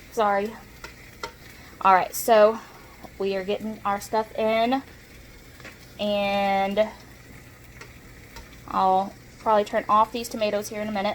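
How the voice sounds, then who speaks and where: Speaking with a Southern US accent, a woman at a medium pitch talks at a fairly slow pace in a monotone, flat intonation with long, frequent pauses. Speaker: cooking vlogger. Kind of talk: cooking tutorial. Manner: casual, chatty.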